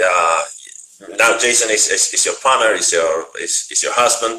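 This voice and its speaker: A man with a Spanish accent at a moderate pace, with audible room echo and noticeable background noise. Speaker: interviewer. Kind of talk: interview. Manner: halting.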